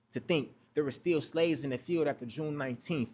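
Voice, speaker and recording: A man with an ordinary speaking voice talks at a fairly quick pace and a fairly high pitch, with ordinary pitch variation. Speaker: spoken word poet. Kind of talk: spoken word poetry performance.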